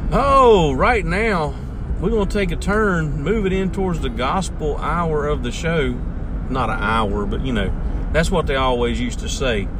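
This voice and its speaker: With a Southern US accent, a man talks at a moderate pace in an animated tone. Noticeable background noise runs behind him. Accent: Southern US, country. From US South, North Carolina. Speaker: podcast host, local radio style. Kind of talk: casual chat, radio-style monologue. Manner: folksy, animated.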